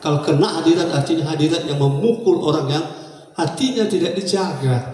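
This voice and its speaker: A man's high-pitched voice, with noticeable background noise and audible room echo. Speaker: pastor. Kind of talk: sermon. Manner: calm, not shouting.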